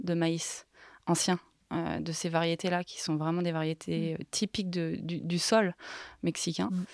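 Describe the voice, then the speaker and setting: A woman's unremarkable speaking voice with a fairly low pitch and fairly even intonation, dry and close with no echo on a very clean recording with a silent background. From Haute-Savoie, French Alps. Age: young. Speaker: business consultant. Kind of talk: interview.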